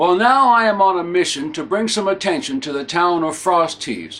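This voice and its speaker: With a New England accent, a man speaks at a high pitch and a moderate pace, his intonation lively. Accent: New England Yankee. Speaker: humorist. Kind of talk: promotional pitch to camera.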